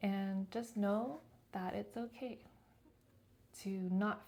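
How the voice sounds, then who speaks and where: Soft-spoken and somewhat breathy, a woman talks at a very slow pace with fairly even intonation, a medium pitch and a dark, mellow tone. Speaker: lifestyle vlogger. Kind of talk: reflective monologue to camera. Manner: casual.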